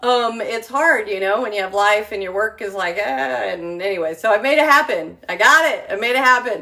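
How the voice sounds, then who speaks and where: Noticeable background noise runs through the clip. The speaker moves at a fairly quick pace with lively intonation. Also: woman, fairly high pitch for a woman, hardly any pauses. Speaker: travel agent and home-cooking livestreamer. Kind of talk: casual livestream chat. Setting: live video from her home kitchen. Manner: rambling with many fillers (um, uh).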